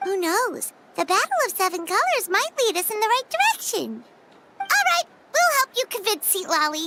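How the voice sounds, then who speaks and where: This is a put-on character voice at an extremely high pitch. It sounds squeaky. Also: moderate pace. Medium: video game. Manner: chatty, reactive.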